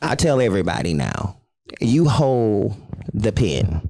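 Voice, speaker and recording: Very wide pitch swings in a dark, mellow tone. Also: man. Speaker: podcast co-host. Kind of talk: casual chat. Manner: loud.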